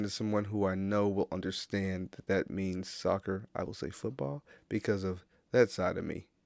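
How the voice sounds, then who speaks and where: A man's voice in a dry, close sound with no echo, on a very clean recording with a silent background. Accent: American. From USA, Caribbean heritage. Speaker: podcast host. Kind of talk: casual monologue. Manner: halting, many fillers.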